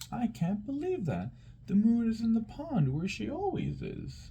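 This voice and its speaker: A man does a put-on character voice, pitched high. Background noise is clearly audible. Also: moderate pace. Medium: read story.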